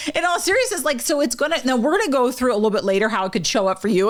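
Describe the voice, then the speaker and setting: A woman speaks at a very fast pace in an animated tone, with very wide pitch swings. Noticeable background noise runs beneath her. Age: 50s. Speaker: wellness podcast co-host. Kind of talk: casual chat. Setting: studio.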